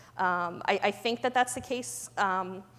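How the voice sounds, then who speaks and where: Her pitch sits in the medium range. This woman's voice varies in pitch in an ordinary way. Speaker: pharma compliance director. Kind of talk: conference talk with Q&A. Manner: fast; many fillers (um, you know).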